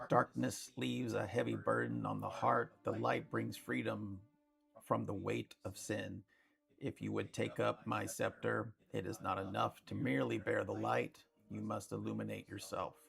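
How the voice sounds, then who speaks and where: In a put-on character voice, a man with a very deep, low pitch speaks at a moderate pace, sounding raspy. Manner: solemn, otherworldly.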